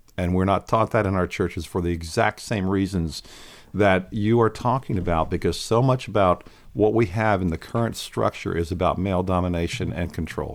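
A man with an American accent speaks at a fairly quick pace. His pitch is very deep and low, with ordinary pitch variation. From Pennsylvania, Lancaster County. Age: 60s. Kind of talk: podcast interview.

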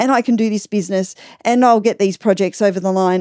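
A woman's medium-pitched voice with an Australian accent, dark and mellow in tone and ordinary in pitch variation, in a very clean recording with a silent background and a dry, close sound with no echo. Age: 40s. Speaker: podcaster. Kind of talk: casual chat. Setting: home room padded with fabrics.

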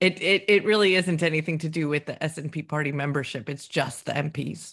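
Recorded very cleanly against a silent background, a woman speaks with a northern American accent. Her pitch is very deep and low, with ordinary variation. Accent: northern American, close to Canadian. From northern US. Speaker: podcast co-host. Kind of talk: casual political chat.

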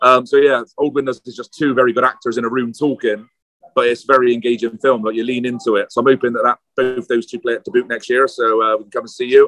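Speaking at a very fast pace, a man with a British accent talks at a medium pitch. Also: fairly even intonation, big swings in loudness. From UK, London. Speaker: film director and writer. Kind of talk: casual interview chat. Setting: outside a pub, noisy, video or phone call.

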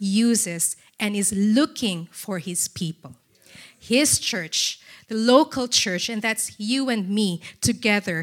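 In a Filipino accent, a woman speaks fairly slowly with lively intonation and a fairly high pitch. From Philippines. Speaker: charity representative. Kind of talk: church talk. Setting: church.

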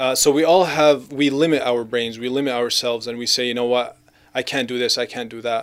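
Here is an unremarkable speaking voice from a man at medium pitch. He talks at a fairly quick pace with fairly even intonation. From Gaza, Palestine and Canada. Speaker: Islamic speaker and YouTube video maker. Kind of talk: casual interview chat.

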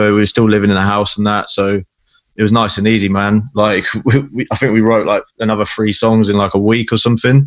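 A man with a southern English accent talks at a very fast pace. His fairly low voice is monotone and flat. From Salisbury, southern England. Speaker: guitarist in a hardcore band. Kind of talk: casual chat.

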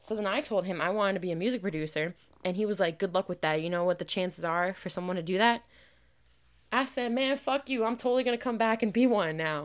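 Animated and very fast, a woman speaks at a medium pitch on a very clean recording against a silent background. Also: lively intonation. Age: 20s. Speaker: podcast host. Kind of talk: casual solo monologue. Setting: home recording.

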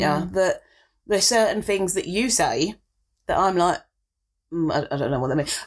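A woman speaks with vocal fry. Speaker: podcast co-host. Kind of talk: casual chat.

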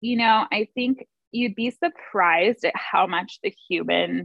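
Speaking very slowly, a woman with an American accent uses a fairly high pitch and lively intonation. Vocal fry runs through her voice. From San Diego, California. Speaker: small business owner. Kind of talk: interview.

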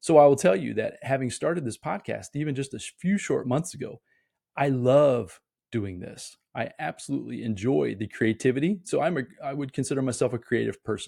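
A man speaks with an American accent at a fairly quick pace. His tone is dark and mellow, with vocal fry. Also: medium pitch for a man, lively intonation. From US Midwest, Indiana. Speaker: podcast host, motivational speaker. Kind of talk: solo motivational monologue. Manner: occasional stammering, fillers.

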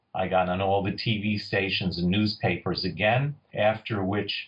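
This man has a New York accent and a fairly low pitch. He is somewhat breathy and talks at a moderate pace. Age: 60s. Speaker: forager and foraging tour leader. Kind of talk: interview with storytelling. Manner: animated.

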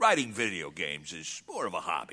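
A man's put-on character voice, bright and sharp in tone, at a moderate pace

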